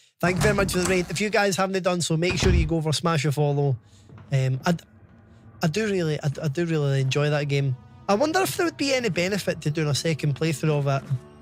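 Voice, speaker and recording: Over music in the background, a man with a Scottish accent talks at a very fast pace with a fairly high pitch, ordinary pitch variation and very even loudness. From Scotland. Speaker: gaming streamer. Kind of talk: live stream chat while gaming. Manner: halting, frequent restarts.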